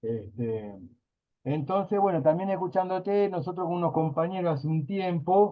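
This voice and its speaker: Lively intonation and a moderate pace from a man at a fairly high pitch. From Río de la Plata (Uruguay/Argentina). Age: 40s. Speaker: workshop participant. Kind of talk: casual class discussion. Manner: hesitant, many fillers.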